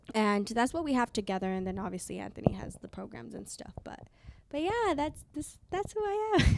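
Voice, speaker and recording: Over noticeable background noise, a woman speaks at a fairly quick pace, her loudness swinging widely. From Mexico. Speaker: entrepreneur. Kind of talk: casual chat.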